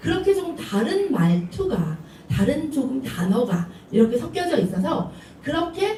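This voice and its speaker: A woman with a Seoul accent, high in pitch with very wide pitch swings, at a fairly slow pace, amid noticeable background noise and audible room echo. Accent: Seoul speech. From Seoul, South Korea. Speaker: preacher, ministry leader. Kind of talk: sermon.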